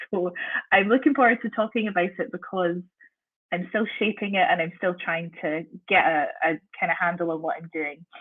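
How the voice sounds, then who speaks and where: A woman talks at a fairly quick pace. She has a slight Scottish accent. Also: medium pitch for a woman, ordinary pitch variation. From Scotland. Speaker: university lecturer in theology. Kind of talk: guest talk on research.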